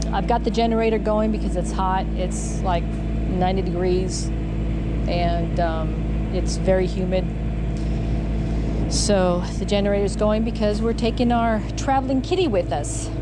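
A woman speaks at a fairly slow pace. Loud background noise is heard behind her. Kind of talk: casual vlog chat. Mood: cheerful, laughing. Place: street. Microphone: phone near.

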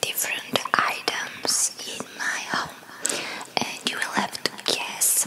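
The speaker is whispering. The pace is very slow. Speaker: ASMR creator. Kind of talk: ASMR guess-the-trigger talk to camera. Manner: whispered. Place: home room. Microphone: studio mic.

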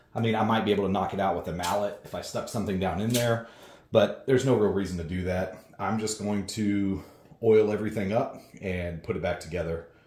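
This man speaks at a fairly quick pace in a somewhat breathy voice. Audible room echo surrounds him. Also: fairly low pitch for a man, fairly even intonation. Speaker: home gym reviewer. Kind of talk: tutorial.

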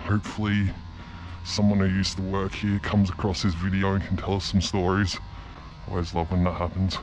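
Over clear background music, a man with a very deep, low voice talks at a fairly quick pace in a monotone, flat intonation. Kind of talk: casual vlog chat. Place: factory. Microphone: phone near.

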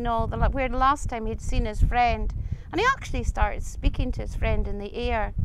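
A woman with a Scottish accent talks at a moderate pace with lively intonation, the sound dry with no echo but noticeable background noise behind her. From Scottish Highlands. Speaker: storyteller. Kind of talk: folk tale telling. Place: open country. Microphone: lapel.

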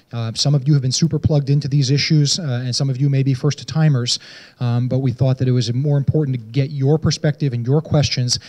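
A man speaks at a very fast pace in a monotone, flat intonation, his tone dark and mellow. His voice is somewhat breathy against a quiet background. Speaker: city transportation director. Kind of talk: public meeting moderation. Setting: community meeting with audience. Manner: informal, friendly. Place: hall. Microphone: handheld.

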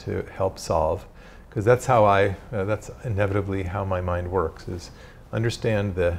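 Somewhat breathy, this man speaks at a fairly low pitch. His pace is moderate. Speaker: visiting professor. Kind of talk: lecture. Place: hall. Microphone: podium.

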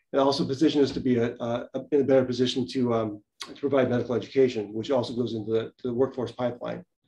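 Speaking at a very fast pace, a man uses a medium pitch and a dark, mellow tone with monotone, flat intonation. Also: hardly any pauses. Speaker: family physician and community health center executive. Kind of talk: presentation. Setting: video call. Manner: fast talker.

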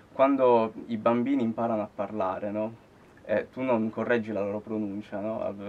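Speaking at a moderate pace, this man has a medium pitch. His intonation is monotone and flat. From Sicily, Palermo; Sicily. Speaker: guitarist; interviewee. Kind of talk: interview. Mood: relaxed, thoughtful. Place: studio.

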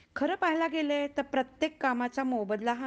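A woman is talking. Her intonation is lively. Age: 50s. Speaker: recitation contest participant. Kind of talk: prepared speech.

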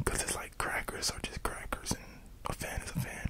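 A soft-spoken man talks over loud background noise. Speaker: content creator. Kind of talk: ASMR-style rambling monologue. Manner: soft, close-mic ASMR murmur. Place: home room. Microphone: studio mic.

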